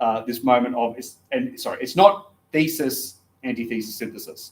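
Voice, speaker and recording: In an Australian accent, a man speaks at a medium pitch with ordinary pitch variation. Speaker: philosophy lecturer. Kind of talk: lecture. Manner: hesitant, many fillers.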